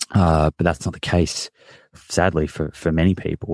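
Over a quiet background, a man with an Australian accent speaks in a very deep, low pitch with fairly even intonation, the sound dry and close with no echo. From Australia, Victoria. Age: 30s. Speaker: nutritionist and podcast host. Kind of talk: interview.

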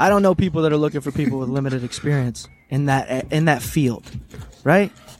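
With music behind him, a man whose pitch is fairly high talks at a moderate speed, varying his pitch in an ordinary way. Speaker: podcast co-host. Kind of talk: casual banter podcast chat. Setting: remote recording over call software. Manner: profane, laughs often.

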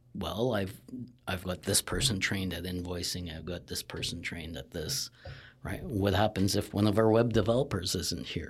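A moderate pace, ordinary pitch variation and a Canadian accent. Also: man. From Northern Ontario, Canada. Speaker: marketing agency partner, former forester. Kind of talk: casual interview.

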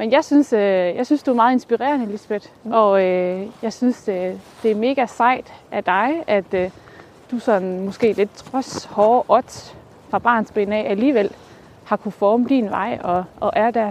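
A woman's fairly high voice at a fairly slow pace, a normal speaking voice with ordinary pitch variation. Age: 30s. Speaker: podcast host. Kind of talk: casual interview. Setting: outdoors, walking.

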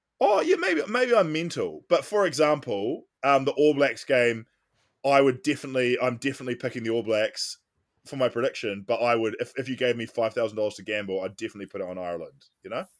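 A man of medium pitch with a New Zealand accent talks at a very fast pace with lively intonation in a very clean recording with a silent background. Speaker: podcast host. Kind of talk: casual chat.

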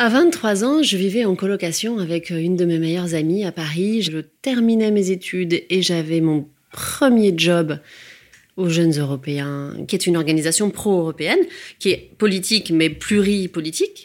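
Using an ordinary speaking voice, a woman talks at a moderate pace and fairly low pitch with ordinary pitch variation. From provincial France. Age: 40s. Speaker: life coach. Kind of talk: personal testimony.

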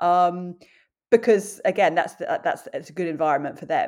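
Captured in a very clean recording with a silent background, a woman speaks with an English accent. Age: 40s. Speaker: journalist, runner and presenter. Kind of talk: interview. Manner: halting.

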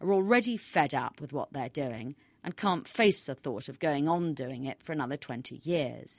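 A woman's very deep, low voice at a moderate pace, lively in intonation, dry and close with no echo, over a quiet background. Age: 50s. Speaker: newspaper columnist. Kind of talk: scripted narration.

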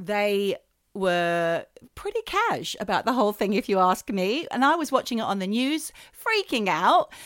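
Recorded very cleanly against a silent background, a woman with an Australian accent speaks at a fairly slow pace. Her pitch is fairly high and her intonation lively. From Australia, New South Wales south coast. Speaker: podcast co-host. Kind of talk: casual chat.

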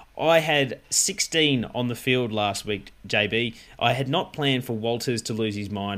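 Medium-pitched male speech in an Australian accent, moderately paced, with ordinary pitch variation. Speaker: fantasy football podcast host. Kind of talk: casual chat.

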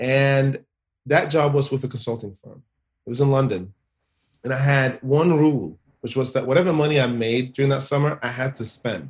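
A somewhat breathy man talks at a moderate pace and medium pitch with ordinary pitch variation. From Sweden. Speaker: author and diversity consultant. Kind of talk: casual interview. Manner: halting with fillers.

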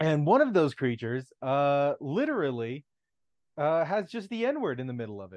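A man's fairly high voice with very wide pitch swings and big swings in loudness. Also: moderate pace. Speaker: podcast co-host. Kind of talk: casual chat.

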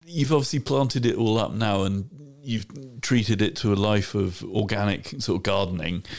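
A man's fairly low voice at a moderate pace, an ordinary speaking voice. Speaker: podcast host. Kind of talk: casual chat.

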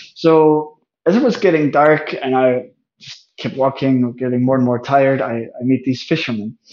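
Speaking with a Danish accent, a man uses a medium pitch, ordinary pitch variation and a moderate pace. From Denmark, near Aarhus. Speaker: travel photographer and life coach. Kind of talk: interview.

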